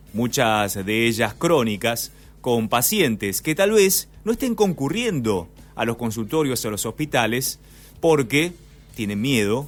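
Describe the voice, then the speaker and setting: Music plays in the background. A man speaks over it with lively intonation. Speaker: radio host. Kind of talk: radio interview questions.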